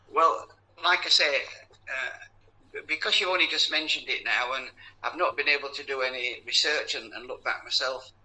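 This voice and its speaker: A man talks fairly quickly, and noticeable background noise can be heard. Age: 80s+. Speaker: Jehovah's Witness elder. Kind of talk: phone call debate. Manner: halting.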